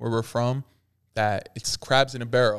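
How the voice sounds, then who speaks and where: Recorded very cleanly over a silent background, a man speaks at medium pitch with fairly even intonation in an unremarkable speaking voice. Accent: American. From Allentown, Pennsylvania. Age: young. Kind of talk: casual chat.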